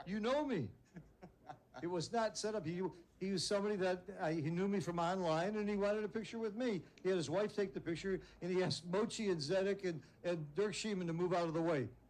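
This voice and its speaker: At a very fast pace, a man speaks with a high pitch, ordinary pitch variation and very even loudness. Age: 70s. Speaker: backgammon commentator. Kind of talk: live commentary. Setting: tournament live stream. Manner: animated.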